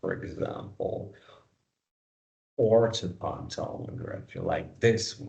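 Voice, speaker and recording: A man with a non-native accent, in audible room echo. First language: not English. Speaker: dentistry lecturer. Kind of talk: lecture. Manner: halting.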